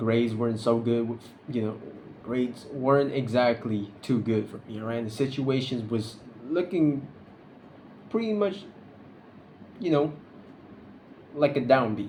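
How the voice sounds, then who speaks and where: A man talks at a medium pitch in a dark, mellow, somewhat breathy voice with ordinary pitch variation. Long, frequent pauses stand out, and the room echo is audible. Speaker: vlogger. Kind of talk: casual vlog monologue. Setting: recording alone to camera. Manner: halting, stuttering; unscripted, awkward pauses.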